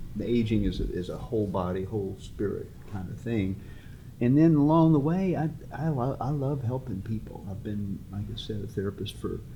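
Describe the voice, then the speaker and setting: A man's somewhat breathy voice, dark and mellow, at medium pitch and moderate pace, with lively intonation and audible room echo. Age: 70s. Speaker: therapist and author. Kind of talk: casual interview. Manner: halting.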